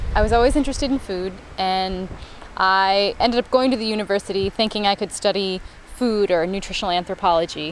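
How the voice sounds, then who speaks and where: A woman with an American accent and a normal speaking voice talks at a fairly quick pace, at a medium pitch with ordinary pitch variation. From US Southwest (small town in Arizona on Mexican border). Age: 20s. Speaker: nonprofit director. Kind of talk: interview. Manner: casual with frequent fillers.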